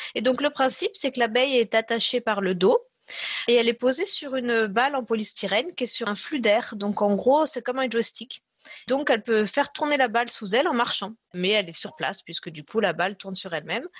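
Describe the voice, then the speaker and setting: A woman speaks with a slight southern French accent at a fairly high pitch. Her intonation is lively, her pace fairly quick, and the sound is dry and close with no echo. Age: 30s. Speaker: neuroscience researcher. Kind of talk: interview. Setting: remote call from home.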